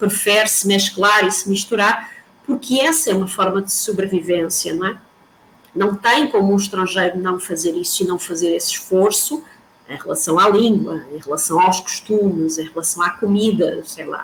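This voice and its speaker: A woman talks at a moderate pace. Her pitch sits in the medium range, with ordinary variation. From Portugal. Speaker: professor. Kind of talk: lecture.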